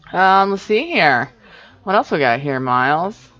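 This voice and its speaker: Music plays in the background behind a voice with an American accent. The pitch swings very widely. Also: woman. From various parts of the US. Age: 30s. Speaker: podcast co-host. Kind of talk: casual chat. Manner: halting.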